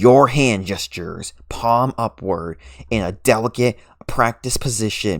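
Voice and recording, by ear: Reading aloud in a natural voice, the pitch moving in an ordinary way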